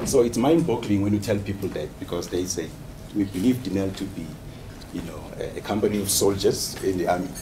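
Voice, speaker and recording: A man with a fairly low pitch talks as noticeable background noise plays behind him. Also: ordinary pitch variation. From South Africa, KwaZulu-Natal (Umlazi township); KwaZulu-Natal. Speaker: PhD student and HR executive; presenter. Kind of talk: research presentation and discussion. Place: meeting room. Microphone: camera far.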